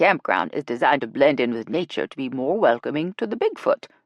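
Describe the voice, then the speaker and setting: A man speaks in a put-on character voice at a very fast pace. His pitch swings very widely. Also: fairly high pitch for a man. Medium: read story. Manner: blunt, dry.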